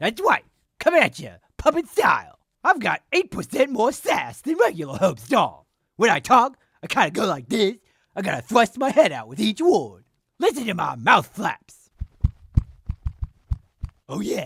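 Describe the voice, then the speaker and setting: A fairly high cartoonish character voice at a moderate pace, broken by long, frequent pauses. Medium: puppet. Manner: sassy.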